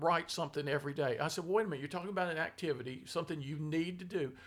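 Pitched high, a man talks at a very fast pace. His pitch variation is ordinary. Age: 70s. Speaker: philosopher and author. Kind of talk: casual conversation.

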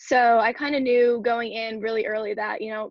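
A woman's plain, everyday voice, fairly high-pitched, at a fairly quick pace with fairly even intonation. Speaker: college soccer player. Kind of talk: interview.

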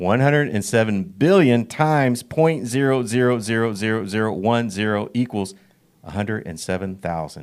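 This man has a normal speaking voice at a medium pitch, and his intonation is lively. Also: moderate pace. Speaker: pastor. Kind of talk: casual chat.

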